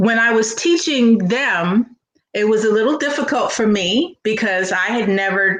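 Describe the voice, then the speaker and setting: The woman has an ordinary speaking voice, talking fairly slowly with ordinary pitch variation. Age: 60s. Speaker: comedian. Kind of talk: casual chat.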